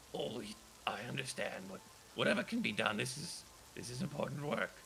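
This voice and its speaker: A man puts on a character voice at a medium pitch, talking at a fairly quick pace over clear background noise. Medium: actual play. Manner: gentle, hesitant.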